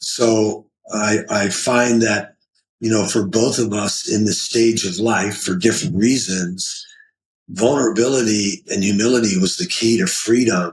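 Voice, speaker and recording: A man speaks in a medium pitch with ordinary pitch variation. His voice is somewhat breathy and his pace fairly slow. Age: 70s. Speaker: pastor. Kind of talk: podcast interview.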